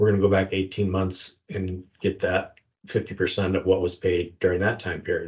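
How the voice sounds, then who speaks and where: At a moderate pace, a somewhat breathy voice speaks with monotone, flat intonation. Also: man. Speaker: retired federal agent, investigations manager.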